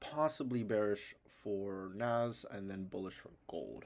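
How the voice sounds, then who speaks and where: With a normal speaking voice, a man talks at a fairly low pitch with ordinary pitch variation. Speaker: trading analysis youtuber. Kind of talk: tutorial.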